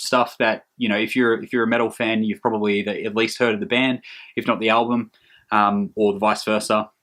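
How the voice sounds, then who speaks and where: A man with an Australian accent talks at a very fast pace with a fairly low pitch. His intonation is monotone and flat, over a quiet background. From Australia, Hunter region of New South Wales. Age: 30s. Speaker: metal music vlogger. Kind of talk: casual vlog monologue. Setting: hot room at home. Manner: hesitant, many filler ums.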